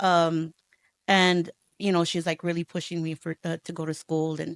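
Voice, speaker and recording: Using monotone, flat intonation, a woman with a Spanish accent speaks at a moderate pace and a fairly low pitch. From Texas, Houston and Rio Grande Valley. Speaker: educator and school leader. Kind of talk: interview.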